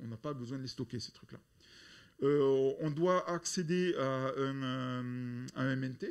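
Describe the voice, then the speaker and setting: Ordinary pitch variation marks a man's voice, which sits at a medium pitch. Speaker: software developer presenting. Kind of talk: conference talk. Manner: loud; halting, many repetitions.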